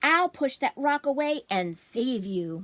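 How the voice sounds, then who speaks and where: In a very clean recording with a silent background, a woman puts on a character voice. It is high-pitched, fairly slow and full of very wide pitch swings. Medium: read story.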